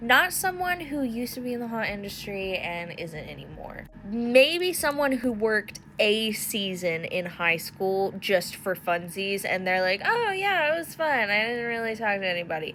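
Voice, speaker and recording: Loud and fairly high, a woman's voice swings very widely in pitch at a moderate pace, against noticeable background noise. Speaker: haunt industry content creator. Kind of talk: casual vlog monologue. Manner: animated.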